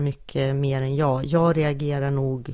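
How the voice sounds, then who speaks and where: A woman speaks at a very slow pace. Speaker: podcast co-host. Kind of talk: casual chat.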